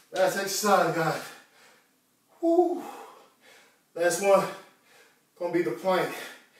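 Against a quiet background with audible room echo, a man speaks very slowly in a high-pitched, monotone, flat voice. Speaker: fitness host. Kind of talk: live workout instruction. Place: home room. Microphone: camera far.

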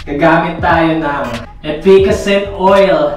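A man speaks with audible room echo and faint music in the background. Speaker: vlogger. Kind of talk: casual vlog chat. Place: bathroom.

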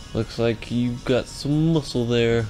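Quietly and at a moderate pace, a man speaks over faint music in the background. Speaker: gaming video creator. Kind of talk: casual gameplay commentary. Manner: quiet, subdued. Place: home room.

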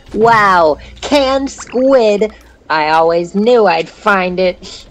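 Putting on a character voice, a female-sounding speaker holds a medium pitch and goes at a very slow pace.

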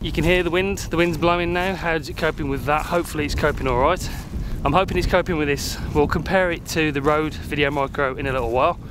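A man at a very fast pace with fairly even intonation, dry sound with no echo, and noticeable background noise. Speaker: gear reviewer. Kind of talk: casual vlog chat. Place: open country. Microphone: phone near.

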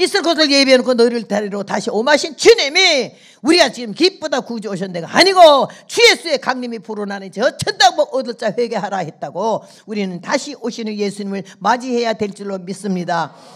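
Over a quiet background, a woman talks at a fairly quick pace, her pitch swinging very widely and her loudness rising and falling sharply. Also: fairly high pitch for a woman. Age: 80s+. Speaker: missionary preacher. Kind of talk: sermon. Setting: church service with congregation. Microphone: handheld.

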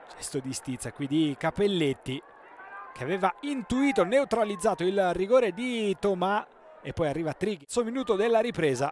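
Through noticeable background noise, a man with a high voice speaks at a moderate pace with very wide pitch swings. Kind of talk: live sports commentary over match highlights. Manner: emphatic, declamatory delivery with rising energy.

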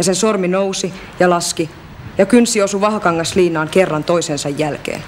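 A woman at a moderate pace with ordinary pitch variation, light background noise behind her. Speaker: actress in language course drama. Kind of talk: dramatic monologue. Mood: subdued, hurt, reflective.

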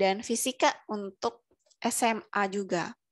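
A woman speaks with ordinary pitch variation. The sound is dry with no echo, over a quiet background. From Indonesia. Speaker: webinar moderator. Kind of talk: formal announcement. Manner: formal. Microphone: headset.

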